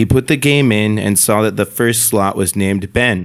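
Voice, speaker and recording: Here a man has a normal speaking voice, fairly low in pitch. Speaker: podcast host. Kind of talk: retelling a creepy haunted-cartridge story in a flat, storytelling way. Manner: casual, conversational.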